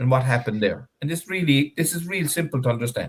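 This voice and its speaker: Someone speaks at a fairly quick pace in a Cork accent, with an animated tone, lively intonation and a somewhat breathy quality. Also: man. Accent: Irish, Cork. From Ireland, West Cork. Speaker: fisherman and industry spokesperson. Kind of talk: interview. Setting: live online stream.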